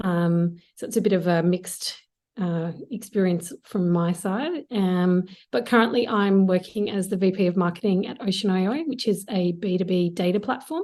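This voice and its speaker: In an Australian accent, a woman speaks in a medium pitch with a dark, mellow tone and fairly even intonation. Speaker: marketing executive. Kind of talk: interview.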